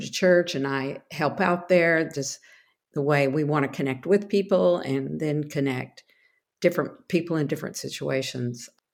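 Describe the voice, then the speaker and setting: A woman with a Texan accent, very deep and low in pitch, at a moderate pace with ordinary pitch variation, in a very clean recording with a silent background. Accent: Texan American. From Texas. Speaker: ministry worker. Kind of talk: casual interview.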